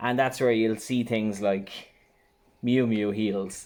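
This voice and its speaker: Speaking at a medium pitch and a fairly slow pace, a man talks in an Irish accent. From Ireland, Waterford. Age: 30s. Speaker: online reseller vlogger. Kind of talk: casual vlog tutorial.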